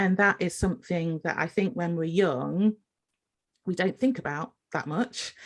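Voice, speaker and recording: With ordinary pitch variation, the woman talks at a fairly slow pace. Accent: English. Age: 50s. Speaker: podcast host and nurse. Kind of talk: casual interview chat.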